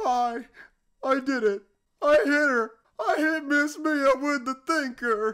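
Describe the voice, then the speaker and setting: The voice sounds female and high-pitched. It moves at a fairly slow pace with long, frequent pauses. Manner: pompous, then panicked.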